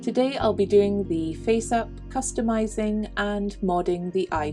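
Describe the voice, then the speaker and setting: A woman speaks at a fairly slow pace with a fairly low pitch. Music plays in the background. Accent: Scottish. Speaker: crafter. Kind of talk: tutorial narration.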